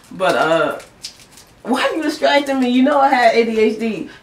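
A woman talks at a high pitch. Audible room echo surrounds her voice. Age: 20s. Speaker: vlogger. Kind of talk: casual chat. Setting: home bedroom. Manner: rambling, fast. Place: home room. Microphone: camera far.

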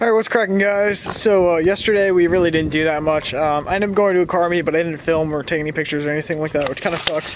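Very fast with hardly any pauses, a man speaks in a high voice and fairly even intonation, with a dry sound with no echo and noticeable background noise. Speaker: car vlogger. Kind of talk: casual vlog. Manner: halting. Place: street. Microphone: phone near.

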